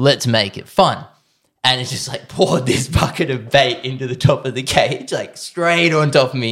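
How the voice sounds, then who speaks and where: With an Australian accent, a man speaks at a medium pitch and moderate pace, with ordinary pitch variation and big swings in loudness. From Australia, Sutherland Shire, Sydney. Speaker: professional bodyboarder. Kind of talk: casual chat. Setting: host's lounge room.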